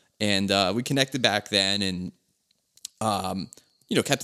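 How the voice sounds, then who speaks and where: A man with an American accent talks in a plain, everyday voice, fairly low in pitch with ordinary pitch variation. The recording is very clean and dry, with a close sound, no echo and a silent background. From Philadelphia, US. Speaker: car podcast host. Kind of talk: casual chat.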